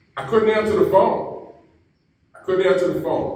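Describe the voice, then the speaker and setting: A man's voice carries audible room echo. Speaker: keynote speaker. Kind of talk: speech.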